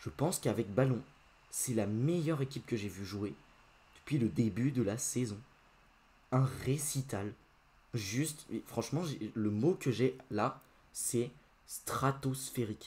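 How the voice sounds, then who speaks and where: Somewhat breathy and very slow, the voice shows ordinary pitch variation and leaves long, frequent pauses. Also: man, medium pitch for a man. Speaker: football YouTuber. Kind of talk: post-match football debrief. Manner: casual, hesitant with many fillers.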